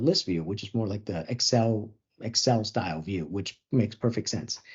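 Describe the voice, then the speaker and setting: The voice is somewhat breathy, with ordinary pitch variation, at a fairly quick pace. The background is quiet. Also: man. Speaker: software webinar presenter; webinar presenter. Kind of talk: product demo webinar. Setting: online webinar. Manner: fast. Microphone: video call.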